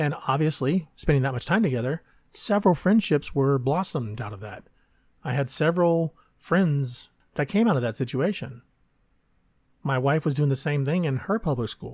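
A man with an American accent, his fairly high, somewhat breathy voice and lively intonation at a moderate pace, broken by long, frequent pauses, in a very clean recording against a silent background. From Texas. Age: 40s. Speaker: podcaster. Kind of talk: personal monologue.

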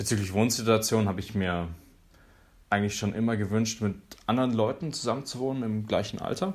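Long, frequent pauses break up a man's fairly quick speech, pitched fairly low with ordinary pitch variation. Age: 20s. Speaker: university student. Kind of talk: personal account.

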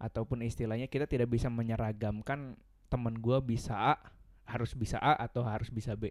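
A man at a medium pitch and a very fast pace, with fairly even intonation. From West Java, Bandung (Sundanese). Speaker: university student. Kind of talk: casual chat.

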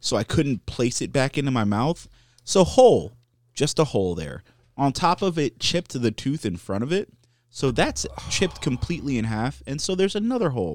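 On a very clean recording with a silent background, a man talks at a fairly quick pace with vocal fry and a fairly high pitch. His pitch swings very widely, and the sound is dry and close with no echo. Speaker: podcast co-host. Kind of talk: casual chat.

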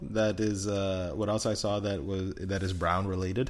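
With audible room echo, a man talks at a moderate pace in a fairly low pitch. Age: 20s. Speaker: podcast co-host. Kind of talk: casual chat.

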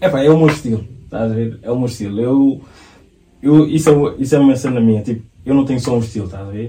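A man's somewhat breathy voice at medium pitch, very fast pace, ordinary pitch variation and a dark, mellow tone. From Portugal, Lisbon south bank. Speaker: fashion coach and model. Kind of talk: casual chat.

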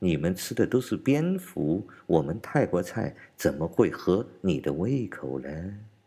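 Very slow and very deep, a man's low-pitched voice carries vocal fry, a dark, mellow tone and very wide pitch swings on a very clean recording with a silent background. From China. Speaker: political commentator podcaster. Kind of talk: commentary monologue.

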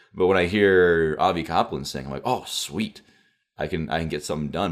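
Over a silent background on a very clean recording, a man talks at a fairly quick pace. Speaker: podcast host. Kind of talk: casual conversation.

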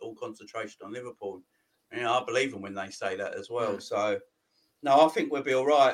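Speaking in a London accent, a man goes at a very fast pace. His intonation is lively. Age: 40s. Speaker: football channel host. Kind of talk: casual chat.

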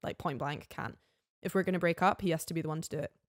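Speaking with a Scottish Highland accent, a woman uses fairly low pitch and fairly even intonation, captured in a very clean recording with a silent background and a dry, close sound with no echo. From Scottish Highlands. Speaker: flatmate of the host. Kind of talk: casual chat.

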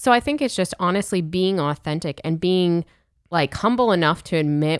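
A woman with an American accent and a plain, everyday voice speaks at a moderate pace and fairly low pitch on a very clean recording with a silent background. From Pittsburgh, US. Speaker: podcast co-host, youth minister. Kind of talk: casual chat. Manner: laughs often.

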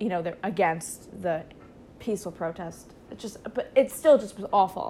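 Using a normal speaking voice, a woman speaks at a moderate pace with lively intonation. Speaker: college student podcast co-host. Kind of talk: casual chat.

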